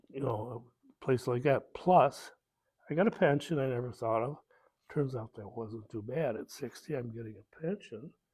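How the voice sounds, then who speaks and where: A man with an American accent, medium pitch, big swings in loudness, a moderate pace, a somewhat breathy quality and ordinary pitch variation. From Ohio, US Midwest. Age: 70s. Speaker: war veteran. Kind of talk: oral history interview. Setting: veterans hall. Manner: halting, many fillers.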